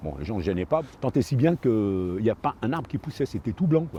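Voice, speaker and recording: A man's very fast speech with lively intonation and a dark, mellow tone. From France, Paris suburbs (Seine-Saint-Denis). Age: 60s. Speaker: park ranger. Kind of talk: documentary interview. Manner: hesitant, many fillers.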